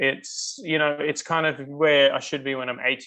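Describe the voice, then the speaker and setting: This man speaks at a moderate pace in an Australian accent, his fairly high pitch carrying a bright, sharp tone. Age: 40s. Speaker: customer sharing health story. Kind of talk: interview testimony. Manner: hesitant, many fillers.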